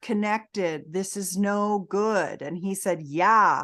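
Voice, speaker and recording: A woman with a medium pitch speaks against a quiet background. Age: 60s. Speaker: intimacy expert and entrepreneur. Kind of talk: podcast interview.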